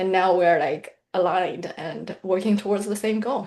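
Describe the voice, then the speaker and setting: A woman speaks with a Mandarin accent at a moderate pace in a medium pitch. Her intonation is fairly even, and her tone is dark and mellow. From mainland China. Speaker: financial planner and author. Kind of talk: interview.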